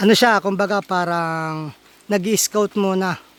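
A man speaks over noticeable background noise. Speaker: vlogger, small farmer. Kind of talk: casual vlog walkthrough. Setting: outdoors on a farm.

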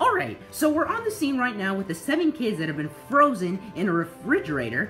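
The speech moves at a fairly quick pace with clear music in the background. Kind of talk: comedic puppet skit dialogue. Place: home room.

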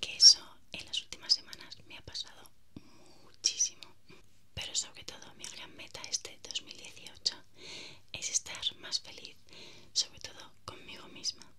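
A soft-spoken woman whispering at a fairly slow pace, with long, frequent pauses, big swings in loudness and light background noise. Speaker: vlogger. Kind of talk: casual vlog chat. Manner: soft close-mic whisper. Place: home room. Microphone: earbuds.

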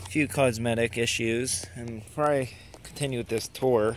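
A man speaks with fairly even intonation over light background noise. The sound is dry, with no echo. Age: 20s. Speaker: car owner. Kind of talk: casual car tour talk to camera. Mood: relaxed, proud. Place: street. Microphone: phone near.

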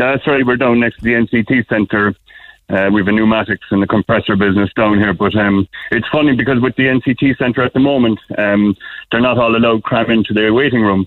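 Fairly quick and at a very even loudness, a man talks at a medium pitch with fairly even intonation. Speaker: small business owner calling a radio show. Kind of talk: casual chat. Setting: phone call.

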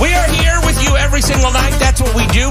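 This man's speech competes with loud music in the background. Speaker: late-night country radio show host. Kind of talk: live radio show host intro. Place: studio.

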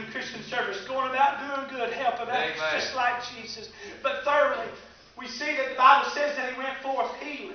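At a moderate pace and with a Southern US accent, a man with an extremely high pitch keeps a fairly even intonation while his loudness swings widely, with strong room echo and light background noise. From US South, East Tennessee. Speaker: preacher. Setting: church service with live congregation. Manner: fervent, building preacher cadence, driving through repeated phrases; constantly answered by amens and shouts from listeners. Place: church. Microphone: camera far.

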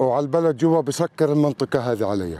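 The voice has a dark, mellow tone and a Palestinian accent. The sound is dry with no echo. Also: man. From Palestine, West Bank. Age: 50s. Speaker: farmer. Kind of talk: video diary talk to camera. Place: open country. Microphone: phone near.

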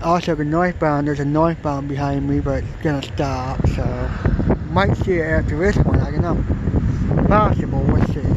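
A man talking at a moderate pace with hardly any pauses, dry sound with no echo, over loud background noise. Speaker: railfan video maker. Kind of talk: live commentary. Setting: outdoors. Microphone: phone; phone near.

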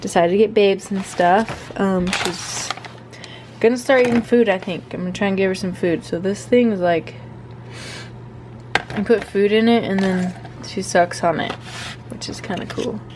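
Noticeable background noise runs under a woman speaking at a moderate pace. She leaves long, frequent pauses. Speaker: fitness vlogger. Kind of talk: casual vlog chat. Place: kitchen. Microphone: phone near.

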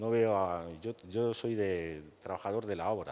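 This man's voice sits at a fairly low pitch. His pitch varies in an ordinary way. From Spain, Madrid. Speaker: construction worker and union delegate; panelist. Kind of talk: panel testimony. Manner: hesitant, filler-heavy. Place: stage. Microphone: handheld.

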